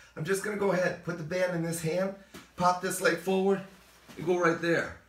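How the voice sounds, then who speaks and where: Noticeable background noise sits under a man speaking at a high pitch and a fairly quick pace. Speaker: fitness trainer. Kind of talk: exercise tutorial. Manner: fast; animated.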